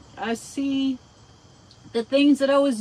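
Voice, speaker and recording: A woman talks over noticeable background noise. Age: 60s. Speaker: DIY vlogger. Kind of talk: casual vlog monologue. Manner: halting.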